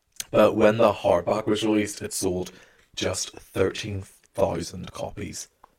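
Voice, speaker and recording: Here a man speaks with a fairly low pitch. His voice is somewhat breathy. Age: young. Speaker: podcast co-host. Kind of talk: casual chat.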